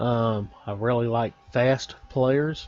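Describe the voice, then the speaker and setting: There is noticeable background noise behind a man with a Texan accent. His pitch variation is ordinary. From Texas. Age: 40s. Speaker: gaming YouTuber. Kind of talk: casual video commentary.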